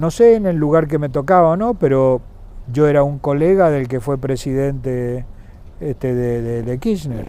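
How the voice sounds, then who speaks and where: A man's fairly high voice with a dark, mellow tone at a fairly slow pace. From Argentina, San Juan province. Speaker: former governor and businessman. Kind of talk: interview. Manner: hesitant, with fillers and repetitions.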